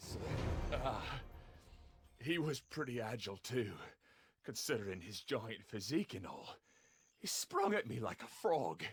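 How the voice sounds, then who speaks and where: A put-on character voice at a moderate pace, broken by long, frequent pauses. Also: man, medium pitch for a man. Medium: video game.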